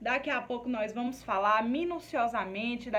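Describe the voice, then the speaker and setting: A woman's high voice with ordinary pitch variation and audible room echo. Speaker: nursing course teacher. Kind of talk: lecture. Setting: recorded video class. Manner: stammering.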